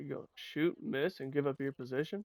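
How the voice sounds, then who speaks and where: A man speaks quietly at a fairly quick pace. The sound is dry and close, with no echo. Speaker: gaming streamer. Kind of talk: casual gameplay commentary. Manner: normally quiet and mellow, with sudden loud outbursts; rambling, halting.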